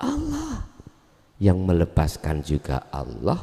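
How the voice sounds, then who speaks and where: This man's pitch is very deep and low, and he talks at a very slow pace. His intonation is lively, with a Javanese accent. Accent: rural Javanese-accented Indonesian. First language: Javanese (speaking Indonesian). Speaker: Islamic teacher. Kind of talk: religious lecture with Q&A. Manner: casual, mixing Javanese and Indonesian.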